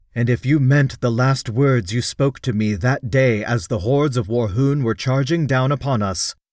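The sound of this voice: Unforced reading in a clear voice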